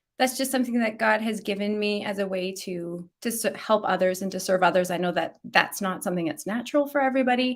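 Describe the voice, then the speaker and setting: The speaker rushes along at a very fast pace with hardly any pauses and ordinary pitch variation. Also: woman, medium pitch for a woman. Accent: Canadian. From Canada, Alberta. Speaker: children's ministry author and speaker. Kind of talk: podcast interview.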